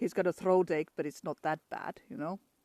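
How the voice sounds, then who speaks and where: Medium-pitched speech from a woman at a fairly quick pace, dry and close with no echo. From Finland. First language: Finnish. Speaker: travel vlogger. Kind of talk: live stream chat. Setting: outdoors in forest. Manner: halting.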